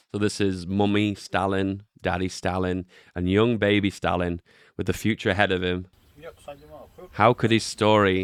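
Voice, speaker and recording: Over a silent background in a very clean recording, a man with a British accent speaks at a moderate pace in a fairly low pitch. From Britain. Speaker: streamer reacting to videos. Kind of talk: reaction commentary. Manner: animated.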